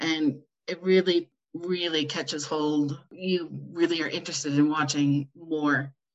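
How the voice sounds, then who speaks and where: A woman with an American accent and an ordinary speaking voice talks at a fairly slow pace, fairly low in pitch, with fairly even intonation. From United States. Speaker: podcast host. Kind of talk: casual chat.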